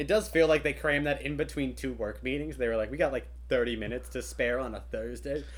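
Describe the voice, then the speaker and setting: The speech runs at a fairly quick pace. It has hardly any pauses. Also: man. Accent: American. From Kentucky, US. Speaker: writer and tabletop game master. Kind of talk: casual chat.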